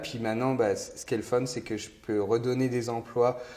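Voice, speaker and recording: A dark, mellow tone in monotone, flat intonation. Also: man. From France. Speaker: entrepreneur, soda company founder. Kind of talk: interview. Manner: hesitant, many fillers and repetitions.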